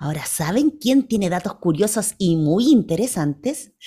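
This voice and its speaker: Warm, playful tone from a woman with very wide pitch swings. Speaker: children's radio co-host and singer. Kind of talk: casual radio chat. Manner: warm and playful.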